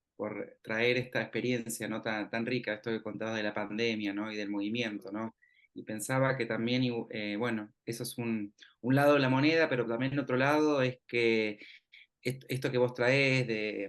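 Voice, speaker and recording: A man speaks with a Rioplatense accent at a moderate pace. His medium pitch carries fairly even intonation. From Argentina, Mar del Plata. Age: 30s. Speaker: university researcher, interviewer. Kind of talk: interview conversation.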